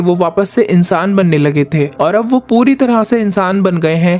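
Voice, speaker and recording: A high-pitched male voice, its pitch varying in an ordinary way. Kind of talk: movie plot recap narration.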